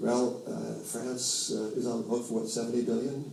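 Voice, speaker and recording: An American accent at a moderate pace, with noticeable background noise and audible room echo. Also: man. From New York. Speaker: financial commentator. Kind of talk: interview. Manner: halting, many fillers and restarts.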